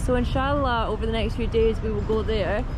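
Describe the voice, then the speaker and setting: A woman is speaking. The sound is dry with no echo, and background noise is noticeable. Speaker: travel vlogger. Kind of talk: casual vlog chat. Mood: cheerful, relaxed. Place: garden. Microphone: phone near.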